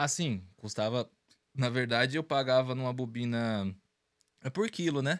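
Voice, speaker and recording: Against a quiet background, a man talks at a fairly slow pace with ordinary pitch variation and long, frequent pauses. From Brazil, Carapicuíba, São Paulo. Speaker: small business owner, bag manufacturer. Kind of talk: casual interview. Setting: studio livestream. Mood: relaxed, reflective. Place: studio. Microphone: studio mic.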